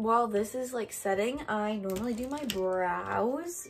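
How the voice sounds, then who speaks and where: A woman talks at a fairly slow pace with ordinary pitch variation. Faint music plays in the background. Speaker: beauty vlogger. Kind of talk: casual vlog chat. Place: home room. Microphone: phone near.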